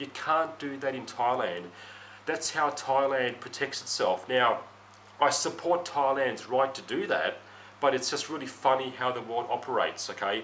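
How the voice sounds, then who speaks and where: A man with a medium pitch and ordinary pitch variation talks at a moderate tempo amid noticeable background noise. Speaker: Western expat living in Thailand. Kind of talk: casual talk to camera. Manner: unedited, with stutters and coughs.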